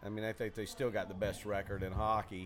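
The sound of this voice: A man with a Southern US accent, fairly low-pitched with little pitch movement, at a fairly quick pace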